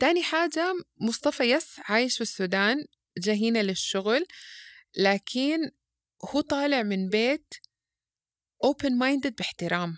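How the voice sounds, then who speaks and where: The voice carries a Sudanese accent and very wide pitch swings. It moves at a fairly slow pace, with long, frequent pauses. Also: woman, high pitch for a woman, very clean recording, silent background. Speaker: parenting educator. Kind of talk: podcast interview. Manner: loud; halting, many false starts.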